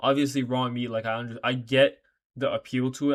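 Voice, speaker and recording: A quiet man at a medium pitch, monotone and flat, at a fairly quick pace. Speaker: reaction video creator. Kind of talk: casual reaction commentary. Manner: casual, profane slangy talk; speaking quietly because late.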